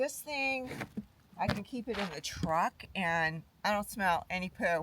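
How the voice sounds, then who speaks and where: Over noticeable background noise, a woman at medium pitch speaks very slowly with very wide pitch swings. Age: 60s. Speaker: nurse and travel vlogger. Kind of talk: casual vlog chat. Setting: outdoors. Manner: halting.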